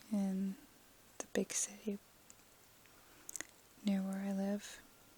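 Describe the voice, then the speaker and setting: Soft-spoken and breathy, a woman talks at a very slow pace with monotone, flat intonation. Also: medium pitch for a woman. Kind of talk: ASMR soft-spoken personal story. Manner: soft-spoken, slow.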